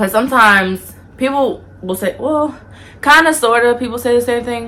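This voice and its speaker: Her intonation is lively. The woman keeps to a moderate pace. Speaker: YouTuber. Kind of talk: casual vlog talk. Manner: soft-spoken.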